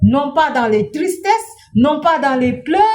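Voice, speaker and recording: A woman's high voice with very wide pitch swings. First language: not French (speaking French). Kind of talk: inspirational talk.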